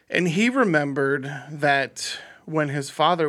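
The man's tone is bright and sharp. His pitch varies in an ordinary way. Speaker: podcast host. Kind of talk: casual banter. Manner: laughs often, jokey.

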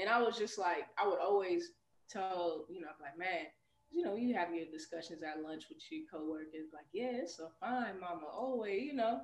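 A normal speaking voice: a woman with an American accent, medium pitch, lively intonation, big swings in loudness and a moderate pace. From Chicago, US. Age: 30s. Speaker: PE teacher. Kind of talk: casual interview.

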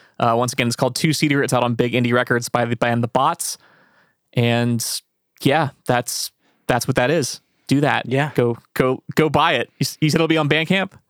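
A man with an American accent speaks in an ordinary speaking voice at medium pitch, with fairly even intonation and very even loudness at a moderate pace. The sound is dry and close with no echo, in a very clean recording with a silent background. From rural central Pennsylvania. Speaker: podcast host. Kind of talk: casual interview.

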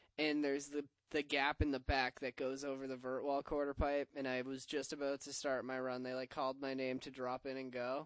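Dry and close with no echo, a man's medium-pitched voice runs at a fairly quick pace with hardly any pauses and a monotone, flat intonation. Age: 20s. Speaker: skateboarder, co-host. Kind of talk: casual chat. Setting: studio.

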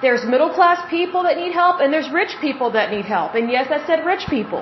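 With an American accent, a woman talks at a fairly quick pace in an extremely high pitch and lively intonation, over noticeable background noise. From Oklahoma, US. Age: 30s. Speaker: podcast host. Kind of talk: solo podcast monologue, commentary. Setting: home, washing machine noise in background. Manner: chatty, conversational, opinionated.

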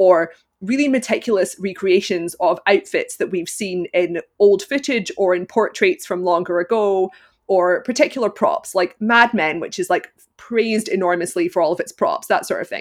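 On a very clean recording with a silent background, a woman with a Glaswegian accent speaks at a moderate pace with a medium pitch and lively intonation. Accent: Glaswegian Scottish. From Scotland, Glasgow. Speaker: film critic and costume analyst. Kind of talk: interview.

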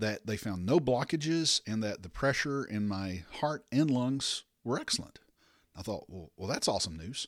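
Over a silent background in a very clean recording, a man with an unremarkable speaking voice talks at medium pitch and a moderate pace with lively intonation. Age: 50s. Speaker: podcast host. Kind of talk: personal testimony.

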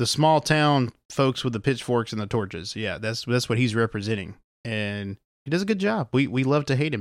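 In a very clean recording with a silent background and a dry, close sound with no echo, a man with a Southern US accent speaks at a medium pitch and a moderate pace with lively intonation. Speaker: podcast host. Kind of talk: casual chat.

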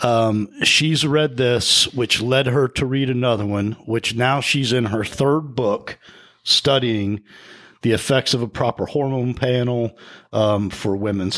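A man speaks in a normal speaking voice at medium pitch. His intonation is fairly even and his loudness very even. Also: very clean recording, silent background. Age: 40s. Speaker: podcast co-host. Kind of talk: casual chat.

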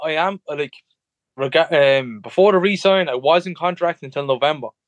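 With an Irish Midlands accent, a man talks at a moderate pace and with lively intonation, in a dry, close sound with no echo. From Ireland, Tullamore area. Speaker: professional MMA fighter. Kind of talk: interview. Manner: halting.

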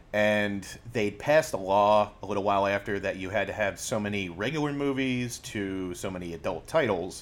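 At a moderate pace, a man speaks in a plain, everyday voice with ordinary pitch variation. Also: fairly low pitch for a man. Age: 40s. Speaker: former video store clerk. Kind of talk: casual chat.

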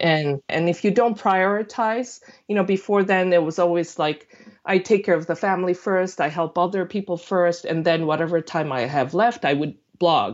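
Speaking with a Korean accent, a woman with a fairly low pitch keeps a moderate pace and lively intonation. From South Korea. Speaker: food blogger. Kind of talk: casual interview chat.

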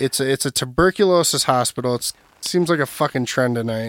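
A man with an Upper Midwest accent speaks at a medium pitch in a dry, close sound with no echo. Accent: Upper Midwest American. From Minnesota, Burnsville. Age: 20s. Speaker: podcast co-host. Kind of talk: casual chat. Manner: halting.

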